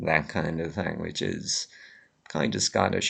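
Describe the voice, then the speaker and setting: A man speaks with a bright, sharp tone. Vocal fry runs through his voice. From Ireland, Limerick. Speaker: vlogger. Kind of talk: casual monologue rant. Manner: many fillers and hesitations.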